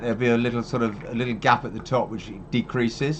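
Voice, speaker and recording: A very fast-talking man amid noticeable background noise. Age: 60s. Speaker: wildlife rescue founder. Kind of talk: casual chat. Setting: livestream. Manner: animated.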